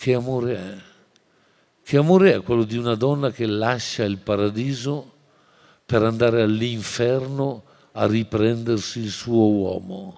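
A man with a dark, mellow tone speaks at a fairly slow pace. He leaves long, frequent pauses over a quiet background. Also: ordinary pitch variation. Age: 60s. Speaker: teacher and writer; teacher. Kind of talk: lecture. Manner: animated. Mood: passionate, expressive. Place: hall. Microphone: podium.

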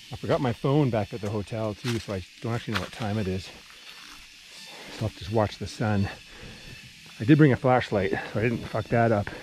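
A man at a fairly quick pace with ordinary pitch variation, dry sound with no echo, and noticeable background noise. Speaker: travel vlogger. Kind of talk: casual vlog chat. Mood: relaxed, amused. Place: forest. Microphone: phone near.

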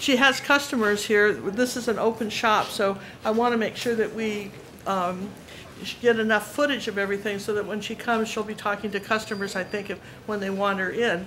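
A woman talks at a fairly quick pace with fairly even intonation. Light background noise sits behind her. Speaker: visitor vlogger. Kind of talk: casual vlog chat. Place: shop. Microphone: phone near.

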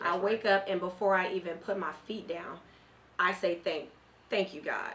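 The speaker has an American accent and a moderate pace. Intonation stays fairly even. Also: woman. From Southeast San Diego, California; California. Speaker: candidate for district attorney; candidate. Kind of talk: radio interview. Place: studio. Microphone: studio mic.

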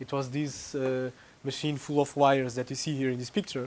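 A man talks at a fairly quick pace with a Portuguese accent. Light background noise sits behind him. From Portugal. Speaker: researcher giving a tutorial; lecturer. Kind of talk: lecture. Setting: lecture room with audience. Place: classroom.

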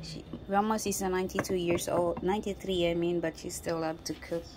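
The voice moves at a moderate pace over noticeable background noise. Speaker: vlogger filming grandmother. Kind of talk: casual talk to camera. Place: kitchen. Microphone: phone near.

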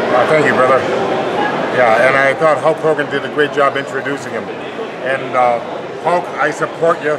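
With loud noise behind him, a man talks at a medium speed, pausing long and often. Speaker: retired pro wrestler. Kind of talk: improvised wrestling promo. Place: hall. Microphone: phone near.

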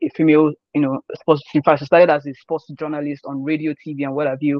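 A man with a Nigerian accent, a monotone, flat intonation, a fairly quick pace and a dry sound with no echo. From Nigeria, Osun State. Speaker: sports journalist. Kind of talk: interview. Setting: video call. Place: home room. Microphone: video call.

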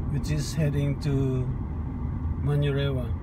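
A man talks at a fairly slow pace with a dry sound and no echo. Loud background noise is present. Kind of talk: casual travel commentary. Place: car. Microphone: phone near.

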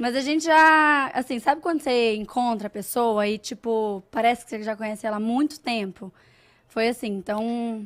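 A woman's fairly high voice rises and falls in an ordinary way over a quiet background. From Brazil, Minas Gerais. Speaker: fashion influencer. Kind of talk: casual interview. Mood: relaxed, friendly. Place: studio. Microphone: studio mic.

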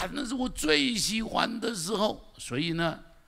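The voice is fairly slow and animated, with very wide pitch swings, vocal fry, and a bright, sharp tone. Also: man. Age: 70s. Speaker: pastor. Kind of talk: sermon. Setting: church. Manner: animated, repetitive emphasis. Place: stage. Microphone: handheld.

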